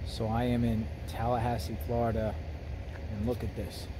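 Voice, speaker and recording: Here a man talks at a moderate pace. Noticeable background noise sits behind him. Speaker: vlogger. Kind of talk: casual vlog chat. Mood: earnest, ominous. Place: street. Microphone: phone near.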